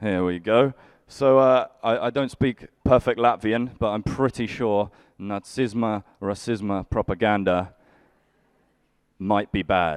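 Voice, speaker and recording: A man's normal speaking voice, fairly low with ordinary pitch variation, at a fairly slow pace, with a dry, close sound, no echo and a quiet background. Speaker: stand-up comedian. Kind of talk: live stand-up comedy set. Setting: live stage with audience.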